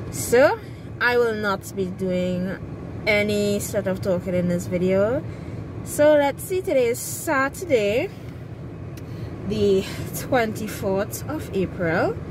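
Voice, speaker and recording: A woman speaks at a very slow pace with long, frequent pauses, her dry sound carrying no echo over noticeable background noise. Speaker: vlogger. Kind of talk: casual vlog chat. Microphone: phone near.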